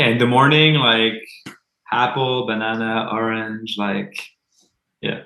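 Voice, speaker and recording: A man with a Quebec accent speaks at a fairly slow pace with fairly even intonation and long, frequent pauses, and the room echo is audible. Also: medium pitch for a man. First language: French. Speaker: metal band musician. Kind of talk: casual interview chat.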